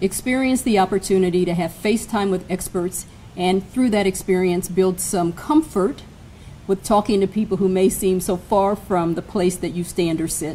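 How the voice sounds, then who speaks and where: Over light background noise, a woman speaks at a moderate pace with ordinary pitch variation. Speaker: college administrator host. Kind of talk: formal welcome speech. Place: hall. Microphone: podium.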